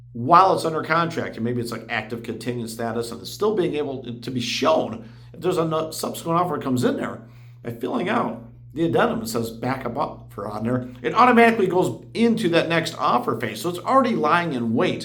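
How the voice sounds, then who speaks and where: A man talks at a fairly quick pace in an animated tone, his fairly high pitch making very wide swings. Noticeable background noise and audible room echo are present. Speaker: real estate agent. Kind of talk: explainer video. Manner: fast.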